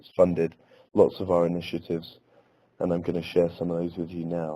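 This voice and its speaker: A man with an English accent talks at a fairly quick pace. His voice is very deep and low, with a dark, mellow tone. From England. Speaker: elementary school teacher. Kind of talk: webinar presentation. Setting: webinar.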